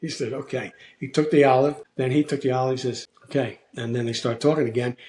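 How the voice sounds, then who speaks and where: Speaking with a Philadelphia accent, a man talks at a fairly quick pace. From US Northeast, South Philadelphia. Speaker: actor. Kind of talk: casual chat.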